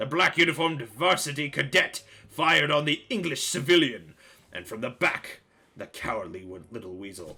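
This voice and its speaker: A put-on character voice at a moderate pace. The pitch sits low to middle. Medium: game stream. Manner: florid, wordy, pompous.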